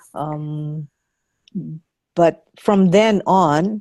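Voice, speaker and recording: A woman's dark, mellow voice, fairly low in pitch with fairly even intonation, over a quiet background. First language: not English. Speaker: course participant. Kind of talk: group discussion. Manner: halting.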